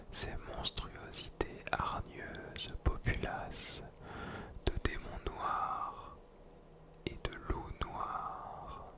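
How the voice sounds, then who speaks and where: A man whispers at a very slow pace, with long, frequent pauses. Noticeable background noise sits behind him. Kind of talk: poetry reading. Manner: whispered.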